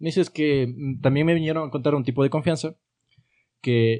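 This man's voice has a dark, mellow tone and a fairly high pitch. He speaks at a fairly quick pace. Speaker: podcast host. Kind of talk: casual chat among friends.

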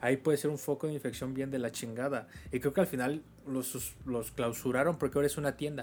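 This man talks at a fairly quick pace with a medium pitch and fairly even intonation. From Mexico. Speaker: podcast host. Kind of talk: casual chat.

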